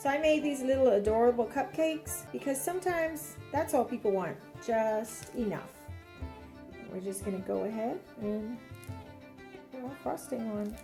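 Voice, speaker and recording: A woman speaks at a moderate pace, leaving long, frequent pauses. Her pitch swings very widely as music plays in the background. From Bahamas. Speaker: home baker. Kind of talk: cooking tutorial.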